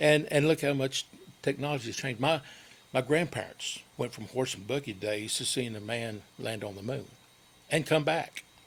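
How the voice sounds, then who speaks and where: With a Tennessee accent, a medium-pitched man talks at a moderate pace with ordinary pitch variation. His loudness swings widely. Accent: Tennessee Southern. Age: 60s. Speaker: local community guest. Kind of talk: radio interview. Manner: halting.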